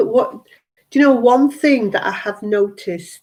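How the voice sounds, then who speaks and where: Speaking fairly slowly, a woman talks in a British accent. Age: 60s. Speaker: health and wellness coach. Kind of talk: live stream monologue. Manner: animated.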